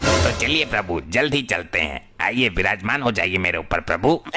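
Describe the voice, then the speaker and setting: A man puts on a cartoonish character voice with a very deep, low pitch and very wide pitch swings, speaking at a moderate pace over clear background noise. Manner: rustic, eager.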